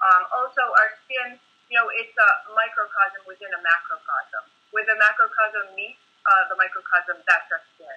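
A woman with an American accent speaks at a moderate pace and a fairly high pitch, with ordinary pitch variation and big swings in loudness. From Rhode Island, US. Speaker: Ayurvedic and Chinese medicine practitioner. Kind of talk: casual interview. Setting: video call. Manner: halting.

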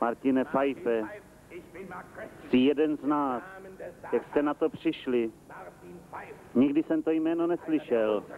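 Amid noticeable background noise, a man with a fairly high pitch and ordinary pitch variation talks fairly slowly, with long, frequent pauses. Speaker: rapid film voice-over dubber.

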